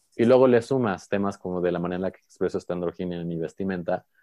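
The voice has a dark, mellow tone, heard through a dry, close sound with no echo. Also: man. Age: 20s. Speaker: interactive designer and performer. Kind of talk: interview conversation. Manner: projecting, animated.

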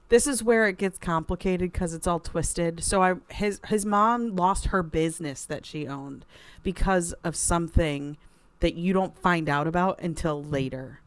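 A woman with a plain, everyday voice, fairly low in pitch, speaks at a moderate pace. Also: ordinary pitch variation. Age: 30s. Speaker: book podcast co-host. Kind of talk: casual chat.

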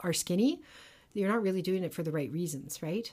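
A woman speaks at a medium pitch in a normal speaking voice. The recording is very clean, with a silent background. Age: 40s. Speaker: podcast co-host. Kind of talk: casual chat.

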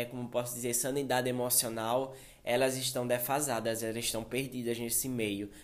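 An unremarkable speaking voice from a man, medium in pitch at a moderate pace. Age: 20s. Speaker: podcaster, fashion model. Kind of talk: casual personal monologue. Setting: studio with editor present.

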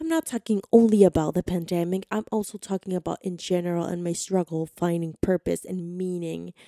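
The sound is dry and close with no echo as a woman with a medium pitch and a dark, mellow tone speaks at a moderate pace with ordinary pitch variation. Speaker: podcast host. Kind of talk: podcast monologue intro.

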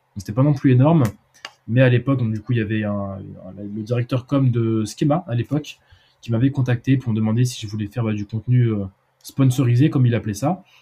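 A man talks at a fairly quick pace in a medium pitch. His dark, mellow tone is somewhat breathy. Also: ordinary pitch variation. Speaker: student entrepreneur. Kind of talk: casual chat. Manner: halting.

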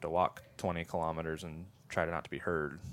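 With an American accent, a man speaks fairly quickly in a very deep, low monotone, on a very clean recording with a silent background. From upstate New York. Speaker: former army ranger and firearms trainer. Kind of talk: casual interview chat.

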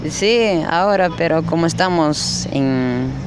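A man is speaking. The recording carries noticeable background noise and audible room echo. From Cochabamba, Bolivia. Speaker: street vendor. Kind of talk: street interview. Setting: outdoors, city plaza.

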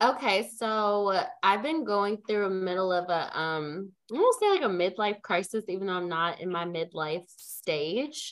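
A woman speaks in an ordinary speaking voice at medium pitch, her pitch varying in an ordinary way. She keeps a fairly slow pace and hardly pauses at all. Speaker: podcast co-host. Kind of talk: casual chat.

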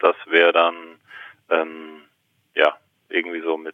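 The man's delivery is fairly slow. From Germany, Palatinate. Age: 30s. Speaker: actor and pain therapist. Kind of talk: casual interview conversation. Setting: phone call. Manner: talkative, many fillers.

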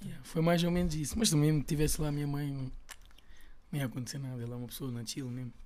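A man's fairly high voice at a very fast pace, with audible room echo. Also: ordinary pitch variation. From Portugal, Lisbon (Chelas). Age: 20s. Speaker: rapper. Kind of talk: casual chat.

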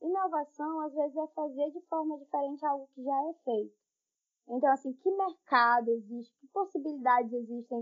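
With a high pitch, a woman talks at a moderate pace, her loudness swinging widely while her pitch varies in an ordinary way. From Brazil, interior of Pará (Tailândia). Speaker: forest engineer. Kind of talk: casual interview chat.

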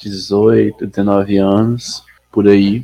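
A man speaks with monotone, flat intonation. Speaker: educator. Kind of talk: casual chat. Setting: live stream.

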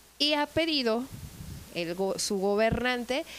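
A woman with a Mexican accent speaks at a high pitch with ordinary pitch variation over noticeable background noise. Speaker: tourism manager. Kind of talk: casual chat.

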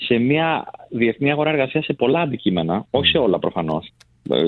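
At medium pitch, this man's voice moves through very wide pitch swings. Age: young. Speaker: recruitment business executive. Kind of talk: radio studio discussion. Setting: radio studio.

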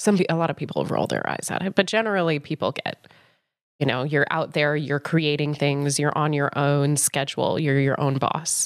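On a very clean recording with a silent background, a woman with an American accent speaks at a moderate pace in a very deep, low pitch with ordinary pitch variation. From Colorado, US. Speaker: film producer and life coach. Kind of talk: casual interview.

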